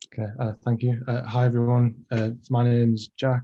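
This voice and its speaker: In a dark, mellow tone, a man speaks at a medium pitch with monotone, flat intonation. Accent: Teesside. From northern England, Middlesbrough. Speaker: design lecturer presenting his project. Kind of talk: presentation.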